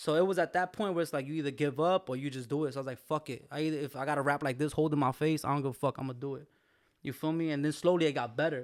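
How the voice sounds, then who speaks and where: The man's pitch is fairly high and his pace very fast. The recording is very clean, with a silent background. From Brooklyn, New York. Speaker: rapper. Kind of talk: casual interview. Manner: animated.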